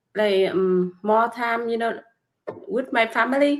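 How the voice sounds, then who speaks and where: A woman speaks at a fairly slow pace. Her fairly high pitch shows ordinary variation. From Vietnam. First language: Vietnamese. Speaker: nail technician and online business mentor. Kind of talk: casual interview chat. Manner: halting, hesitant with many fillers.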